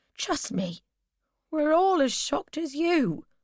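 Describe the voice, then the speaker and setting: A female-sounding voice is put on as a character voice at a high pitch. The pace is fairly slow. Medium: read story. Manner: fretful, restless.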